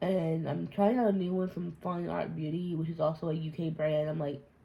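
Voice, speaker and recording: A woman speaks at a moderate pace with fairly even intonation. Her very deep, low voice is somewhat breathy, with a dark, mellow tone. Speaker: beauty youtuber. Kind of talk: casual chat. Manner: rambling, off-topic talk.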